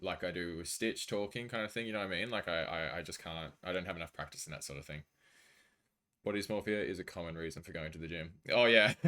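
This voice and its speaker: This man has a very deep, low pitch and an Australian accent, talking at a very fast pace with ordinary pitch variation. His tone is bright and sharp, and the recording is very clean with a silent background. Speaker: video game streamer. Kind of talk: casual chat. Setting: live stream.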